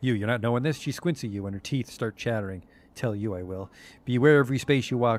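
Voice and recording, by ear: The pitch rises and falls in an ordinary way as a passage is read aloud in a natural voice.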